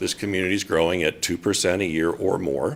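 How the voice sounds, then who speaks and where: A man talks at a moderate pace with a fairly low pitch. It is a plain, everyday voice. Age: 60s. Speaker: public commenter. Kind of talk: public testimony at council meeting. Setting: city council meeting.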